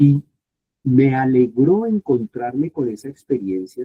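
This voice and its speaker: Here is a man with a plain, everyday voice at a medium pitch. He talks at a fairly slow pace with lively intonation. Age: 60s. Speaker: Bible scholar and professor. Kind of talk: informal talk to youth group.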